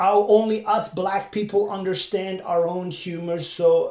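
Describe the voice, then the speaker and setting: A man speaks with a Turkish accent. His pace is fairly slow. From Turkey. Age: 40s. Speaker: podcaster and stand-up comedian. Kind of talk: solo monologue, casual commentary. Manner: halting, with frequent fillers and restarts.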